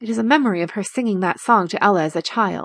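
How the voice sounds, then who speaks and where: A woman's fairly high voice with lively intonation against a quiet background. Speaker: audiobook narrator. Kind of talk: dramatic audiobook narration of a fantasy thriller. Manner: tense, urgent, building suspense, with hushed intensity; animated, voicing the attacker's menacing lines and Ella's soft cry.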